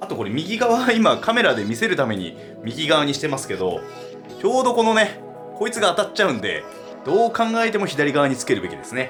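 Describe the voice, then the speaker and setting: A man's high voice at a very fast pace, full of very wide pitch swings, with music in the background. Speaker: DIY woodworking channel host. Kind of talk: casual DIY tutorial talk to camera.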